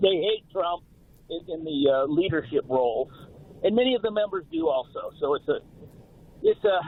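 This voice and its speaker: A man with a high pitch speaks at a moderate pace. His intonation is lively, and there is noticeable background noise. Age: 60s. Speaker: caller, film industry worker. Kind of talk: phone-in call to talk radio. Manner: halting, many fillers.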